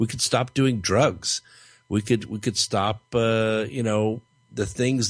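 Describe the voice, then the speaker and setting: This man has an unremarkable speaking voice pitched fairly low. He talks at a fairly slow pace against a quiet background. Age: 60s. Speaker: radio host. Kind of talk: radio interview.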